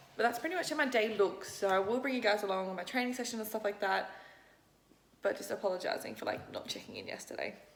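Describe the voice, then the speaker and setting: The speech comes at a very fast pace with ordinary pitch variation. Room echo is audible. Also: woman, fairly high pitch for a woman. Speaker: fitness vlogger and bikini competitor. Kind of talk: casual vlog talk to camera. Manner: casual, chatty.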